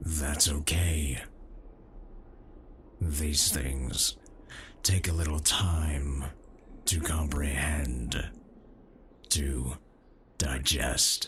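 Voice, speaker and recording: Speaking very slowly, a man adopts a put-on character voice. His pitch sits very deep and low. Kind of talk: ASMR comfort roleplay. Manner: toned-down gruff, soft and comforting.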